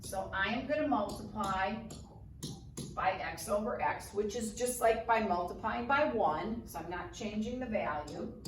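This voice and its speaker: A woman's medium-pitched voice at a fairly slow pace with ordinary pitch variation, amid audible room echo and noticeable background noise. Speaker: math teacher. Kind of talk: tutorial. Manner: casual.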